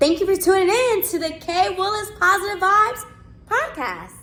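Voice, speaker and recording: Raising and projecting her voice, a woman speaks at an extremely high pitch and moderate pace with ordinary pitch variation. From US South. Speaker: radio talk show host. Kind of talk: show outro; casual interview. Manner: animated.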